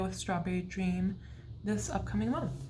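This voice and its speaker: A woman's quiet voice with audible room echo. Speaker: beauty vlogger. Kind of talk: casual vlog update.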